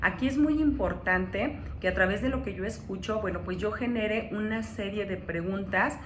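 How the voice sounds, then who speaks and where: A woman at medium pitch and a moderate pace, with ordinary pitch variation, noticeable background noise and audible room echo. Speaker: coach / personal development speaker. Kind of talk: lecture.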